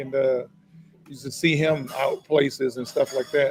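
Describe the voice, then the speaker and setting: Music can be heard behind the voice. The talking proceeds at a moderate speed. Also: man. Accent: American. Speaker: former basketball player and author. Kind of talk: casual chat.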